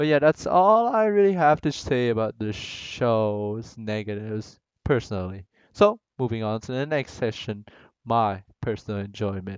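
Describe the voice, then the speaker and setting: A man speaks at a moderate pace with a non-native accent, his pitch sitting in the middle range and rising and falling in an ordinary way. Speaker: anime reviewer. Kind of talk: casual review talk to camera. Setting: low-quality home mic.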